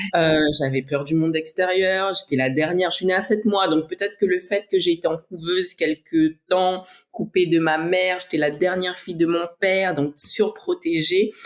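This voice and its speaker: A woman with a plain, everyday voice talks at a moderate pace and medium pitch, with fairly even intonation and hardly any pauses. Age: 30s. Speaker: bodybuilder and flight attendant. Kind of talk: interview.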